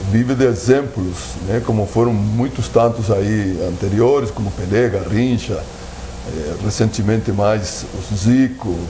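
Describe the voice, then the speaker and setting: Fairly low-pitched man at a fairly slow pace, with audible room echo and noticeable background noise. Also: ordinary pitch variation. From Uruguay, Brazilian border. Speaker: football coach. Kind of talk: TV sports debate. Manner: hesitant, many fillers.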